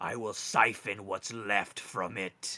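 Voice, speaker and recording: A man performs a put-on character voice. The recording is very clean, with a silent background. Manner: menacing.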